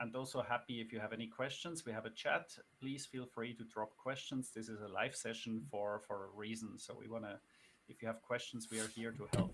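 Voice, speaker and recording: A man speaks at a fairly quick pace with a non-native accent. His pitch is medium and his intonation fairly even. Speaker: finance guest on podcast livestream. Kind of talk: live-streamed conversation. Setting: live stream. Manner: hesitant, many fillers.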